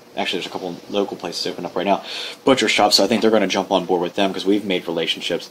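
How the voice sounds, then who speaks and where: A man with an American accent talks at a very fast pace in a fairly low voice, with noticeable noise in the background. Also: fairly even intonation. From Norfolk, Virginia. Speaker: craft brewery owner. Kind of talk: interview. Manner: casual, with filler words.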